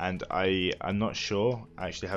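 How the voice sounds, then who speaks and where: Over music in the background, a man with a very deep, low pitch talks with fairly even intonation. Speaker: gaming news presenter. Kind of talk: casual talk to camera. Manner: deadpan.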